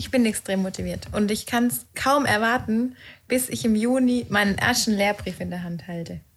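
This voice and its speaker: The voice is somewhat breathy and moves at a moderate pace. Its pitch variation is ordinary. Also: woman, medium pitch for a woman. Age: 30s. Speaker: tax professional preparing for exam. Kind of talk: casual podcast chat.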